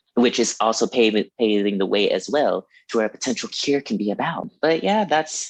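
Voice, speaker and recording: Moderate pace with hardly any pauses, lively intonation, and a dry, close sound with no echo. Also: man, medium pitch for a man. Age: 20s. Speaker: hoodoo practitioner. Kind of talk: casual chat. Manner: animated.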